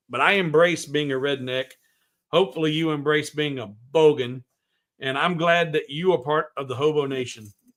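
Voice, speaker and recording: Man with a Southern US accent, fairly high pitch, fairly even intonation and a moderate pace, on a very clean recording with a silent background. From US South. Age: 50s. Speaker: woodworking livestream host. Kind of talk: casual chat. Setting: livestream.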